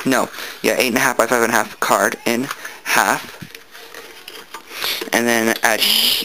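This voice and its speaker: Here a man talks at a moderate pace. Background noise is noticeable. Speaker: papercraft tutorial maker. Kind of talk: tutorial.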